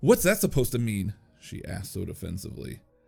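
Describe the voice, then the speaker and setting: The speaker is a man with a mid-range pitch. Background music can be heard. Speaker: narrator. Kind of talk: horror story narration.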